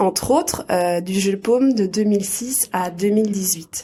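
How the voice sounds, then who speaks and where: Noticeable background noise can be heard. Over it, a woman speaks fairly slowly. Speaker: podcast host.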